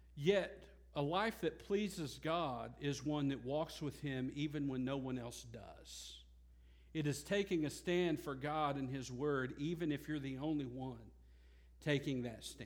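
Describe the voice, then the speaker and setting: A fairly high-pitched man talks at a fairly slow pace with ordinary pitch variation. There is audible room echo. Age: 30s. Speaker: pastor. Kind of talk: sermon. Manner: halting.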